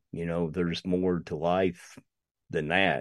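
In an Appalachian accent, a man talks at a very slow pace with a very deep, low pitch, the sound dry and close with no echo against a quiet background. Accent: Appalachian Southern US. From US South, East Tennessee. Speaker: podcaster. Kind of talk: casual chat.

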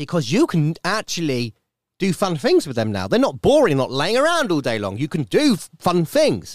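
Recorded very cleanly against a silent background, with a dry, close sound and no echo, a man with an English accent speaks at a moderate pace in a high pitch that swings very widely. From UK. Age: 30s. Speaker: podcast host. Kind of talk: casual monologue. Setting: home studio.

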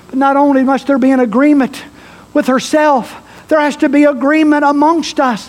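The delivery is animated and moderately paced, with noticeable background noise behind it. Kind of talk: sermon. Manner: animated, rousing call-and-response, urging the congregation to shout; fervent, exhorting, rhythmic repetition.

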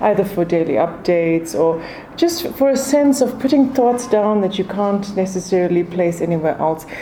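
A woman speaks at a moderate pace with lively intonation. Noticeable background noise runs behind her. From South Africa. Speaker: food journalist and author. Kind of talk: interview.

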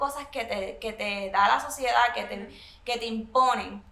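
With noticeable background noise behind her, a woman speaks at a fairly slow pace in a fairly high pitch. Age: 30s. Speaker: blogger and single mother. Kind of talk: casual interview chat. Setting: hotel suite.

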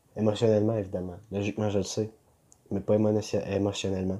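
In a Quebec accent, a man speaks fairly quickly in a fairly low, dark, mellow voice with monotone, flat intonation. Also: very clean recording, silent background. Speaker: vlogger and small online seller. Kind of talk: casual vlog monologue.

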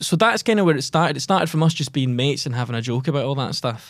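A man talks at a very fast pace with a Glaswegian accent. The recording is very clean, with a silent background. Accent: Glaswegian Scottish. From Scotland, Giffnock near Glasgow. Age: 20s. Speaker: comedian and actor. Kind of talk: casual interview chat. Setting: podcast studio.

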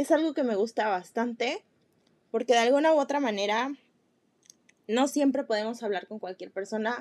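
In a high voice with a Mexican accent, a woman speaks with ordinary pitch variation. The sound is dry and close, with no echo. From Mexico. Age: 20s. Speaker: podcast host, nutrition student. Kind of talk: solo personal monologue. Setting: seated recording podcast. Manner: casual, with filler words.

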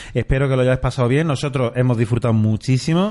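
Over a quiet background, a man speaks with a dark, mellow tone and fairly even intonation. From Andalusia, Córdoba. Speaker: podcast host. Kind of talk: casual chat.

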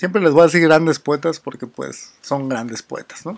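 A man speaks with a fairly high pitch and ordinary pitch variation at a moderate pace. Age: 30s. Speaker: poetry podcast host. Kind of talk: poetry reading with commentary.

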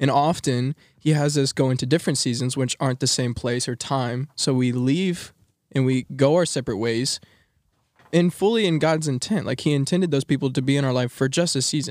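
On a very clean recording with a silent background and a dry, close sound with no echo, a man with an American accent talks at a fairly quick pace in a fairly high pitch with ordinary pitch variation. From Texas. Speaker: college student podcast co-host. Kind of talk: casual chat. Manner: energetic.

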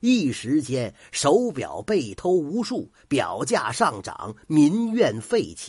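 This is plain reading aloud. Nothing else is described.

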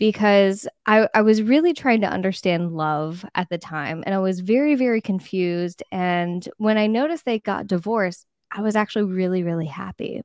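A woman with an American accent speaks in an unremarkable speaking voice at a moderate pace, her medium pitch carrying ordinary variation, with hardly any pauses and a dry, close sound free of echo. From Florida East Coast. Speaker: marriage and family therapist. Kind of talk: interview. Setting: live-streamed video call.

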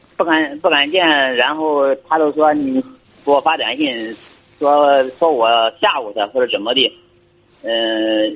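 Ordinary pitch variation and long, frequent pauses from a man with a fairly high voice, moving at a moderate speed. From Shandong, Weihai. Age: 30s. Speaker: caller. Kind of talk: call-in advice chat.

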